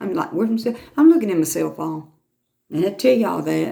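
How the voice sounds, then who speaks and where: Lively intonation colors the speech of a woman with an American accent. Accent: Southern with a bit of Lumbee. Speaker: YouTuber. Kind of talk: casual chat. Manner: animated.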